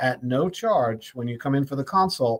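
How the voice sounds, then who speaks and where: A man talks at a moderate pace with a fairly high pitch. He has an ordinary speaking voice. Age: 60s. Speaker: health show host, doctor. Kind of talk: live health talk show monologue. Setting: live stream. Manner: casual, repetitive, some stumbling.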